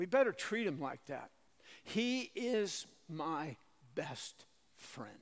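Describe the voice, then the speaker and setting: A man talks at a very slow pace with long, frequent pauses. His high pitch swings very widely. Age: old. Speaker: Bible prophecy teacher. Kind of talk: Bible teaching lecture at a conference.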